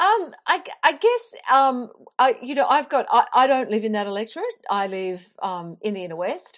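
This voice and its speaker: With an Australian accent, a woman talks at a moderate pace in a high voice, her loudness swinging widely and her pitch ranging very widely. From Queensland, Australia (Toowoomba). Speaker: journalist and author. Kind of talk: interview.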